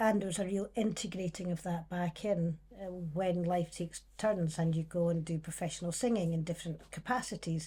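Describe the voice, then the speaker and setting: On a very clean recording with a silent background, a woman with a Scottish accent speaks in a dark, mellow, somewhat breathy tone, her fairly low pitch held in fairly even intonation. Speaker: singer and musician. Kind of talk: casual chat.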